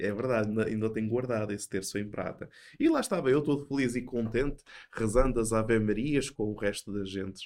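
Speaking with a European Portuguese accent, a man uses a fairly low pitch with ordinary variation at a moderate pace. The recording is very clean, with a silent background. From Portugal. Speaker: theology professor. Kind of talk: casual chat.

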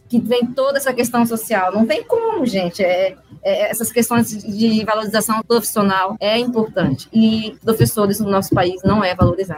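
Over noticeable background noise, a woman with a fairly high pitch keeps a moderate pace, with hardly any pauses and ordinary pitch variation. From Mato Grosso, Brazil. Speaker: school chemistry teacher. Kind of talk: casual chat.

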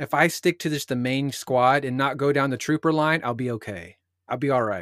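A man with a normal speaking voice talks at a moderate pace, fairly high for a man, with ordinary pitch variation. The recording is very clean with a silent background, and the sound is dry and close with no echo. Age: 30. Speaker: podcast host. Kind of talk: casual chat; scripted outro.

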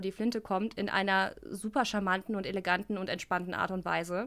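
A woman's bright, sharp voice with fairly even intonation at a rather brisk pace, in a very clean recording with a silent background. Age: 30s. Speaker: video game journalist and host. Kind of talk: casual chat.

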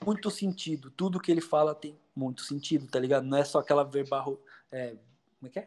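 At a fairly quick pace, a man uses an ordinary speaking voice, fairly high in pitch with ordinary pitch variation and big swings in loudness. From Poá, greater São Paulo, Brazil. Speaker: rapper, former hardcore musician. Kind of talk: casual chat.

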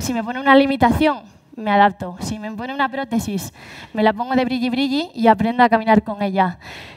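Hers is an ordinary speaking voice, fairly high for a woman, moving at a moderate pace with fairly even intonation. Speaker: paralympic athlete and speaker. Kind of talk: live talk.

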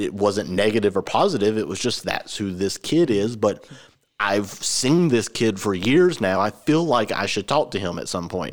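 A man's plain, everyday voice with an American accent, fairly low in pitch, with ordinary pitch variation. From Georgia, US. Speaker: podcast host. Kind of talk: casual chat. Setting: same room as co-host.

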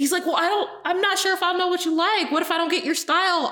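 A woman uses a raised, projected voice over noticeable background noise. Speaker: podcast co-host. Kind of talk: casual chat.

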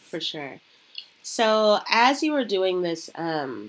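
Lively intonation runs through this woman's speech, delivered with an American accent. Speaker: podcast host. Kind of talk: casual interview conversation. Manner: animated.

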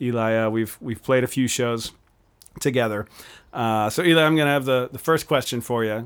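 A man with an unremarkable speaking voice talks at a fairly quick pace, medium pitch, and ordinary pitch variation. The recording is very clean, with a silent background. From Pennsylvania. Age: 30s. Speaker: podcast host and musician. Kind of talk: casual interview chat. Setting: home studio with guest on couch.

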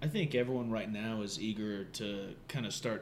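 This man has a plain, everyday voice, fairly low in pitch, with an American accent, fairly even intonation and a moderate pace. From Southern Ohio. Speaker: singer, musician.

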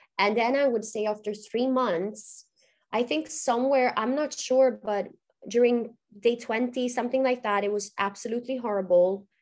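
This woman speaks at a moderate pace with a Swedish accent, her pitch fairly high. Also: ordinary pitch variation. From Sweden, Gothenburg. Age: 30s. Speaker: author. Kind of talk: interview.

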